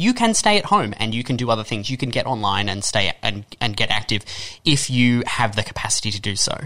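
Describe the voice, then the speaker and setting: A man's bright, sharp tone at a fairly quick pace. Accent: Australian. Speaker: radio presenter. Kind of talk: radio discussion. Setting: radio studio.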